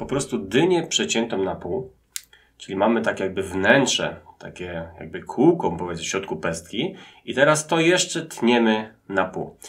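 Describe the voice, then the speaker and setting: Here a man's pitch swings very widely and his loudness swings a lot. He keeps a moderate pace. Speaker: teacher. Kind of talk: tutorial. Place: home room.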